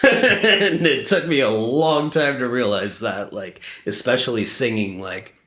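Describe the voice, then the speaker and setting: Speaking at a fairly slow pace, a man lets his pitch swing very widely. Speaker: independent musician. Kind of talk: interview. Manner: halting, many fillers.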